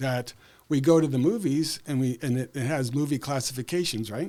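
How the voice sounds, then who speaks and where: A man with a Canadian accent uses an ordinary speaking voice. His pitch is fairly high and his pace moderate. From Saskatchewan, Canada. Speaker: school board candidate, educator. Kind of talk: interview.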